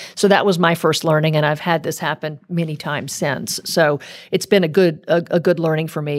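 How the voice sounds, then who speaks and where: In an American accent, an unremarkable speaking voice moves at a moderate pace on a very clean recording with a silent background. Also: woman. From US South, rural South Louisiana Cajun country. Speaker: corporate marketing executive and school board chair. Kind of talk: interview.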